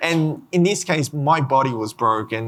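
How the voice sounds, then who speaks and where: In an Australian accent, a man talks at a medium pitch with a bright, sharp tone in a very clean recording with a silent background. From Australia, Sydney. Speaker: genetics researcher and rare disease patient. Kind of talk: panel discussion. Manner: halting.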